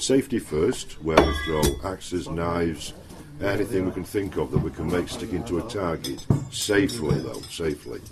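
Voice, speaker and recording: With a Yorkshire accent and lively intonation, a man with a very deep, low pitch talks at a moderate pace over noticeable background noise. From Yorkshire, northern England. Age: 60s. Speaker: knife and axe throwing instructor. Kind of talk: casual chat.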